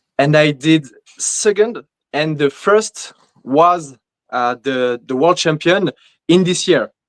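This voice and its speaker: A fairly high-pitched man with a non-native accent, at a very slow pace, in a dry, close sound with no echo. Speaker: bodybuilder. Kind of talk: interview answers. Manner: halting, many fillers.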